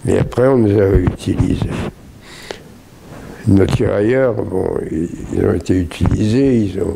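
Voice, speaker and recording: Noticeable background noise sits under very slow speech broken by long, frequent pauses. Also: man, fairly low pitch for a man, ordinary pitch variation. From Brittany, France. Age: 80s+. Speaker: WWII Free French veteran. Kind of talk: interview answer.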